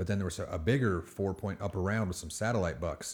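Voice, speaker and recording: Mumbling at a very fast pace, a man is heard on a very clean recording with a silent background. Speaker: co-host. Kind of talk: casual chat. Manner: mumbles.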